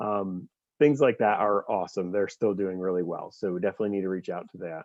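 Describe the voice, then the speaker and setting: Very fast speech comes from a man with a fairly low pitch and ordinary pitch variation. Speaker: nonprofit fundraising staff organizer. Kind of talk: meeting presentation.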